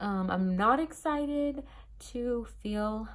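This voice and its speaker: A woman is speaking. Her intonation is lively. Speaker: vlogger. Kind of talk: casual vlog talk. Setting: in her bedroom. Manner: casual, many fillers.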